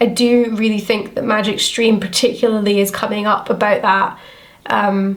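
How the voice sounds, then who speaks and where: With a Scottish accent, a woman speaks at a fairly high pitch and a moderate pace in a monotone, flat delivery, with noticeable background noise. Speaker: tarot reader. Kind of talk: tarot reading to camera. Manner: casual, chatty.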